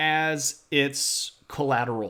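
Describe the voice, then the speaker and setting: The recording is very clean with a silent background, and the speech moves at a very slow pace. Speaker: history streamer. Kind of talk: educational livestream talk. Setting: live stream. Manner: animated.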